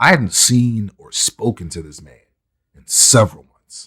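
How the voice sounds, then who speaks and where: A man's somewhat breathy voice at a fairly slow pace, dry and close with no echo. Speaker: podcast co-host. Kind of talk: casual chat.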